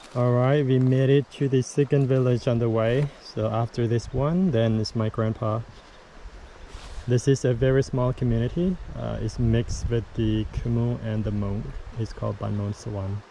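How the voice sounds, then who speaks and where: Noticeable background noise accompanies a man at a moderate pace. His medium-pitched voice keeps fairly even intonation. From Laos. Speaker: travel vlogger, former monk. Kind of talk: casual travel vlog talk to camera. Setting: outdoors.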